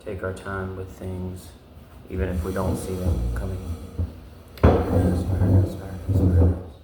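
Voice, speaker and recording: A man with a very deep, low pitch speaks at a fairly slow pace, leaving long, frequent pauses. His intonation is fairly even, and there is noticeable background noise. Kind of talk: ASMR video with soft-spoken affirmations and tapping. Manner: slow, repetitive, contemplative.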